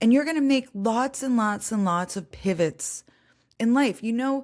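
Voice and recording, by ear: A woman speaks at a moderate pace with fairly high pitch, a slightly mellow tone and lively intonation. The recording is very clean, with a silent background.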